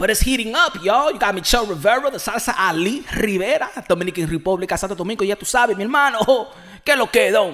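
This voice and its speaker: Talking at a very fast pace with hardly any pauses, a man uses a high voice with lively intonation and an animated tone. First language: Spanish. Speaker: boxing podcaster. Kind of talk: casual commentary monologue.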